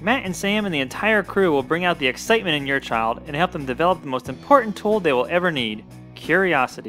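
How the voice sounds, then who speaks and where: Very fast, upbeat speech from a man with fairly high pitch and lively intonation, music in the background. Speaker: children's science show host. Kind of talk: children's show promo host read. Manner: upbeat, friendly.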